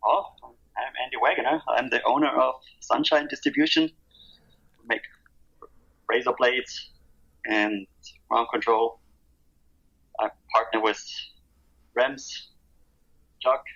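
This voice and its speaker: A man speaks with a German accent. He leaves long, frequent pauses. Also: fairly slow pace. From Germany. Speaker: skate brand owner. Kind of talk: podcast interview. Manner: halting.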